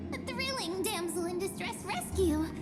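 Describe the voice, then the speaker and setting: Over loud background music, someone speaks in a put-on character voice at a moderate pace. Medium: game stream. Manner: playful.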